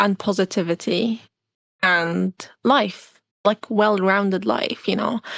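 Against a quiet background, a woman speaks at a very slow pace in a dry, close sound with no echo. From Syria (Damascus). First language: Arabic. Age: 20s. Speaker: pilot and refugee advocate. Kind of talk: interview.

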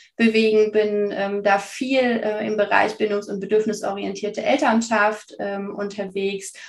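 At a fairly slow pace comes an ordinary speaking voice. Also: woman. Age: 30s. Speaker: parenting coach. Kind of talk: casual interview.

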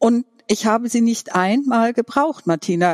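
With a dry, close sound and no echo, a woman with an unremarkable speaking voice talks at a fairly slow pace, with a fairly high pitch and lively intonation. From Franconia, Germany. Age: 50s. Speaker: podcast guest sharing coming-out story. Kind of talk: personal testimony interview. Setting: online video call.

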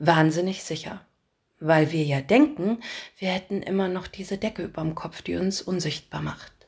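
At a moderate pace and medium pitch, a woman talks in a normal speaking voice with ordinary pitch variation. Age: adult, parent. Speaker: podcast host and storyteller. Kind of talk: scripted narration.

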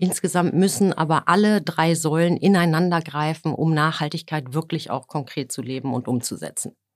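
A woman with a very deep, low pitch at a moderate pace, hardly any pauses and ordinary pitch variation, on a very clean recording with a silent background. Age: 50s. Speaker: energy company HR executive. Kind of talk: business interview. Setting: podcast studio. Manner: hesitant fillers.

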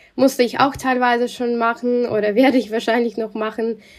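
A woman's fairly high voice stays in monotone, flat intonation. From Russia. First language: Russian (speaking German). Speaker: journalist. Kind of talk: interview.

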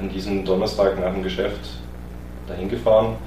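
Talking at a fairly quick pace, a man with a very deep, low pitch makes very wide pitch swings over noticeable background noise and audible room echo. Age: 30s. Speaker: podcast guest sharing dating experiences. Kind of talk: personal testimony in an interview.

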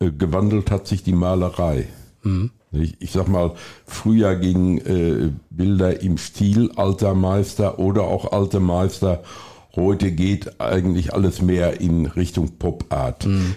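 Very slow and very even in loudness, a man speaks with a very deep, low pitch. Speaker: gallery founder and painter. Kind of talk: casual interview.

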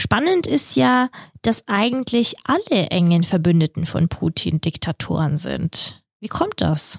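A woman speaks very slowly at a fairly low pitch, with very wide pitch swings. Her voice is somewhat breathy, with a dry, close sound and no echo. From Kazakhstan, then Germany from age 9. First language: Russian (speaking German). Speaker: podcast co-host. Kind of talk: casual chat.

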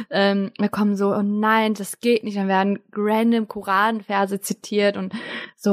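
A woman speaks at medium pitch in a monotone, flat way. The sound is dry and close, with no echo. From Germany, Turkish family. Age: 20s. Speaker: podcaster and student. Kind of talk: casual chat. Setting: remote call.

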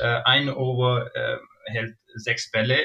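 Very slowly, a man speaks at a medium pitch with a bright, sharp tone. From Pakistan. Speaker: cricket player. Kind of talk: interview. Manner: hesitant, many fillers.

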